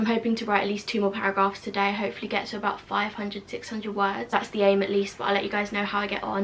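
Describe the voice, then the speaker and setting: A woman with a British accent talks very fast at a medium pitch, her intonation monotone and flat. Noticeable background noise runs underneath. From UK. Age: 20s. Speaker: university student. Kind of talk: casual vlog talk to camera.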